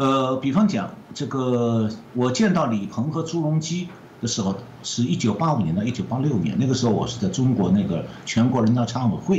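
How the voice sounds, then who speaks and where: Over noticeable background noise and audible room echo, a man of medium pitch talks fairly quickly with very wide pitch swings. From mainland China. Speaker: economist. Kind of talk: interview.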